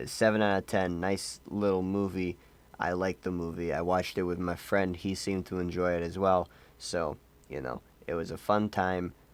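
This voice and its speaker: In a very clean recording with a silent background, a man speaks at a moderate pace with a very deep, low pitch, a deadpan tone, and monotone, flat intonation. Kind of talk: casual movie review to camera. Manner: apathetic, deadpan.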